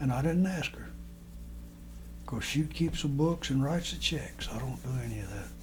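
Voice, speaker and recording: A man's speech full of long, frequent pauses, with audible room echo and noticeable background noise. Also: moderate pace. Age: 80s+. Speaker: elderly man recording family memories. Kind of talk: casual personal monologue. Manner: halting, with many fillers and restarts.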